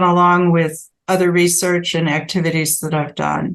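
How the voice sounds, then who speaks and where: A woman with a normal speaking voice talks at a moderate pace. Her pitch sits in the medium range. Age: 60s. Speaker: sleep researcher, professor. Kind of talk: interview conversation.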